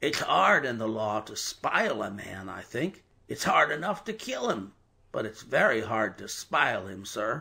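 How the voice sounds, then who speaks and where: A raspy, put-on character voice from a man, medium in pitch, at a moderate pace, with big swings in loudness. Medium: read story.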